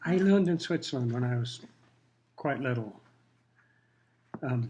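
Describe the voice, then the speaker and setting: A man's somewhat breathy voice, medium in pitch and dark and mellow in tone, carries lively intonation at a moderate pace. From Kenya. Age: 70s. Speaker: retired pilot, longtime resident. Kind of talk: interview. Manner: casual.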